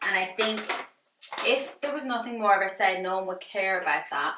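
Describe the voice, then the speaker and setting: Medium pitch from a woman, with noticeable background noise. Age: 20s. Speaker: beauty YouTuber. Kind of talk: casual commentary video while doing makeup. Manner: chatty, with fillers.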